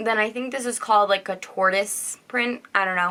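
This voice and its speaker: The voice is loud, with a bright, sharp tone and ordinary pitch variation. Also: woman. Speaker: teacher and vlogger. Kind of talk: casual vlog talk.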